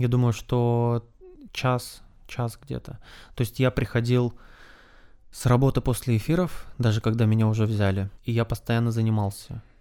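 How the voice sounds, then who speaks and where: In a very clean recording with a silent background, a man with a dark, mellow tone and medium pitch talks with fairly even intonation and long, frequent pauses. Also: moderate pace. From Sakhalin, Russian Far East. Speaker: TV news presenter. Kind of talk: casual interview. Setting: at the host's guest's place.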